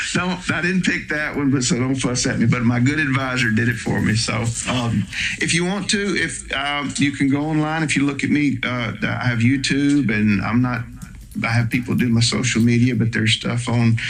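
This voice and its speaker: An American man with a medium pitch and ordinary pitch variation speaks at very even loudness, with noticeable background noise and audible room echo. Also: moderate pace. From US South. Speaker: psychotherapist. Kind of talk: interview. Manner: casual, conversational.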